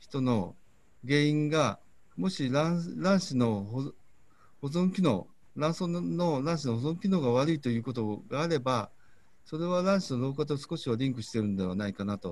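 Speaking at a fairly slow pace, a man with a fairly high voice makes very wide pitch swings. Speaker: fertility clinic doctor. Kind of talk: lecture. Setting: video call.

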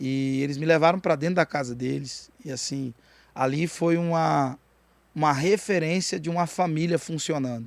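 A man speaks in a normal speaking voice at a moderate pace, fairly high-pitched, with ordinary pitch variation on a very clean recording with a silent background. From Goiás, Brazil (Jataí). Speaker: rapper and pastor. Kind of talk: casual chat.

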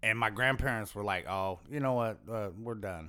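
Pitch variation is ordinary and the pace moderate. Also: man. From Las Vegas, US. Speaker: comedian. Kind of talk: casual chat.

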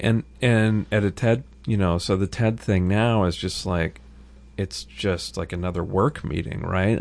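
A man with an American accent speaks at a fairly slow pace in a plain, everyday voice. His pitch is fairly low, with ordinary variation. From small-town US. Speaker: journalist and author. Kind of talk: casual chat.

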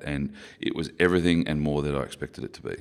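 A man with a very deep, low voice and an Australian accent, fairly quick and fairly even in intonation. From Queensland, Australia. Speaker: former rugby player. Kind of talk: interview conversation. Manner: articulate.

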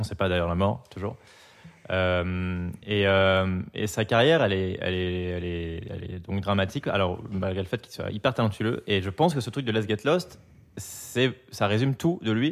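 A man talks at a moderate pace with a fairly low pitch and ordinary pitch variation. It is a normal speaking voice. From France, Biarritz (Basque coast) and Paris. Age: 30s. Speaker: graphic designer and amateur DJ. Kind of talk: casual chat.

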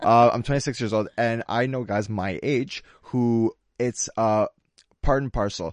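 A fairly slow pace with ordinary pitch variation, in a dry, close sound with no echo. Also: man, medium pitch for a man. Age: 20s. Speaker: fitness trainer. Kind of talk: casual chat. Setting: studio. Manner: halting.

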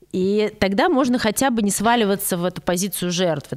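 A woman talks at a fairly quick pace in an ordinary speaking voice. Her pitch variation is ordinary. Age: 30s. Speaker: psychologist / analyst. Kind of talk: casual chat.

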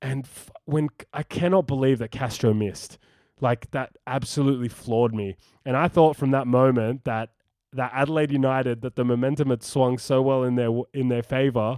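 A man with an Australian accent speaks at a medium pitch in a dark, mellow tone. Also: moderate pace, dry, close sound with no echo. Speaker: football podcast host. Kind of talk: casual chat. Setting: remote call. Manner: animated.

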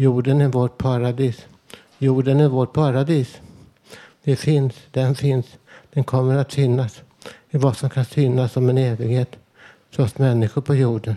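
A man's dark, mellow tone at medium pitch, monotone and flat, at a fairly slow pace with long, frequent pauses. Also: very even loudness, dry, close sound with no echo. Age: 50s. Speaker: poet reading own texts. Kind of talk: reading aloud. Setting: live broadcast with audience.

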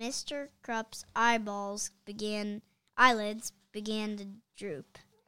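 A natural reading voice is heard. Nothing intrudes in the quiet background.

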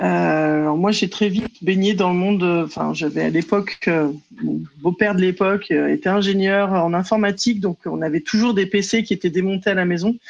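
Using an ordinary speaking voice, a woman talks at medium pitch and a moderate pace with ordinary pitch variation. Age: 30s. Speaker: prevention and training officer. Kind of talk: casual chat.

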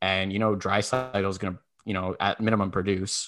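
A man speaks in a plain, everyday voice with fairly low pitch. His intonation is fairly even, and the background is quiet. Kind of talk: heated sports talk banter, rapid-fire hockey rant with jokes.

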